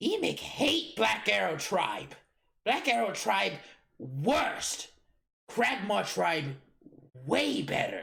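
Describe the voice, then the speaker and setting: In a put-on character voice, a man growls in a raspy, high-pitched tone at a very slow pace with long, frequent pauses. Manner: snarling.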